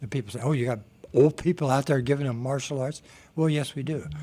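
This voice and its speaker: This man has a fairly high pitch, a dark, mellow tone and ordinary pitch variation. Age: 70s. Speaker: exercise instructor for seniors. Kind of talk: radio interview.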